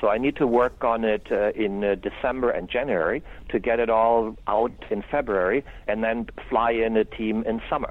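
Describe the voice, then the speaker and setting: A man with a German accent at medium pitch, moderate pace, fairly even intonation and very even loudness. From Germany. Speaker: solar company owner and engineer. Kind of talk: interview.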